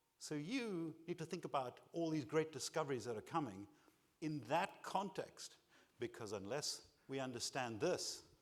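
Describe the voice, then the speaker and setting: With vocal fry and lively intonation, a man talks at a moderate pace in a fairly high pitch. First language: not English. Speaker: keynote speaker. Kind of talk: conference keynote.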